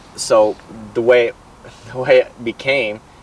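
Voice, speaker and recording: A man speaks at a fairly slow pace with a medium pitch and an American accent. The sound is dry and close, with no echo. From southern Utah, US. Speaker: construction business owner. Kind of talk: interview. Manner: halting, repeats words.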